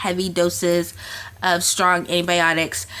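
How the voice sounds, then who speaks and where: Her tone is bright and sharp, set at a fairly low pitch for a woman. She speaks at a fairly slow pace. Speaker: lifestyle coach and artist vlogger. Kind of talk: casual vlog update. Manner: hesitant, many fillers.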